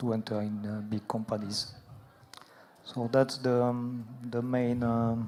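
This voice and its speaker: A man with a French accent talks at a medium pitch and a fairly slow pace. His intonation is monotone and flat, with long, frequent pauses. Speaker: aviation expert. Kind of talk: conference Q&A. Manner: halting.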